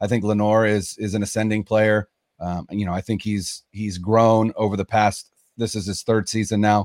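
With an American accent, a man speaks in a fairly low, monotone, flat voice at a moderate pace, in a dry, close sound with no echo. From Northern California. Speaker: sports podcast host, teacher. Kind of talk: casual sports chat. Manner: hesitant, many fillers.

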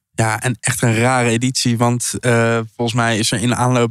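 The delivery is monotone and flat at a moderate pace. The sound is dry and close with no echo. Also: man. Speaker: podcast host. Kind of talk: casual interview. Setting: food hall in The Hague.

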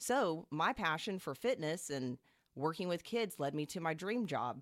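In a plain, everyday voice, a woman with an American accent talks at a moderate pace and fairly low pitch, recorded very cleanly with a silent background and a dry, close sound that has no echo. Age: 30s. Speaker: elementary school teacher. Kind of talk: personal testimony.

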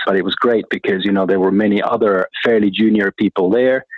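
With a Finnish accent, someone speaks at a fairly quick pace with fairly even intonation. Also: man. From Finland. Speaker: corporate treasurer. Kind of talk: interview.

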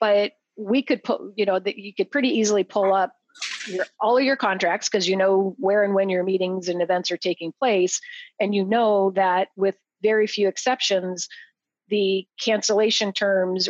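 A plain, everyday voice from a woman with an American accent, medium pitch and ordinary pitch variation, at a moderate pace, dry and close with no echo against a quiet background. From Idaho, US. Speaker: event procurement consultant. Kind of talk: casual interview.

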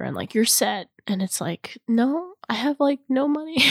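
The woman's voice, dry and close with no echo, moves at a moderate pace through very wide pitch swings. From Los Angeles, Iranian-American family. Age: 20s. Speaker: filmmaker. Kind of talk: interview. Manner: many fillers and restarts.

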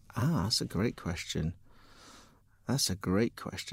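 Someone with a Cardiff accent speaks with very wide pitch swings. The recording is very clean, with a silent background. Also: man. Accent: Welsh (Cardiff). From Wales, Cardiff. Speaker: tech company founder and CEO. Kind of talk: interview. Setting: studio.

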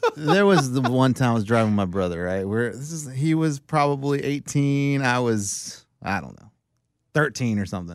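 In a normal speaking voice at a medium pitch and moderate pace, a man talks with lively intonation and big swings in loudness on a very clean recording with a silent background. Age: 40s. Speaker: sports podcast co-host. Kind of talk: casual chat.

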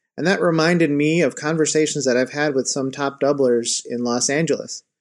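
A man with an American accent speaks in an unremarkable speaking voice at a fairly high pitch, at a moderate pace with ordinary pitch variation, over a quiet background. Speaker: listener, woodwind teacher.

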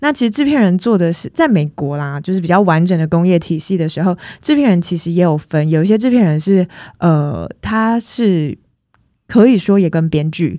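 A woman's dark, mellow, fairly low voice with lively intonation at a moderate pace. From Taiwan, Tainan. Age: 30s. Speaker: film producer. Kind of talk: interview.

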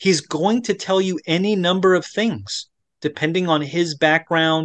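With an American accent, a man talks at a fairly slow pace in an ordinary speaking voice, with ordinary pitch variation against a quiet background. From Florida. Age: 40s. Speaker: pastor, former Orthodox priest. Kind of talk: interview about faith journey. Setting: remote video interview.

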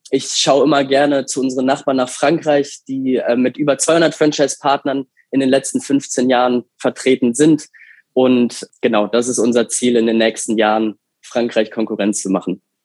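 A man speaks in an ordinary speaking voice at medium pitch and a moderate pace, with very even loudness and fairly even intonation. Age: 20s. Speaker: franchise master licensee for pet food. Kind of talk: interview. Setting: video call.

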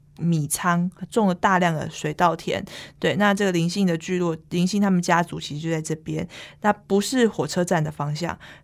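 Speaking at a moderate pace with a Taiwanese accent, a woman uses a fairly low pitch on a very clean recording with a silent background. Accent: Taiwanese Mandarin. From Taipei, Taiwan. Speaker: bookstore manager. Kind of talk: interview.

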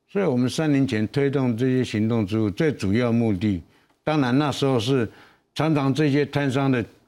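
A man with a dark, mellow tone and medium pitch talks at a moderate pace with ordinary pitch variation and very even loudness, in a very clean recording with a silent background. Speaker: night market association chairman and borough chief. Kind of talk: panel discussion.

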